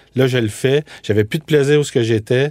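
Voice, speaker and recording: A man's voice, unhurried yet not slow, its pitch rising and falling in the usual way. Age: 40s. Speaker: food entrepreneur, former media producer. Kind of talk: interview.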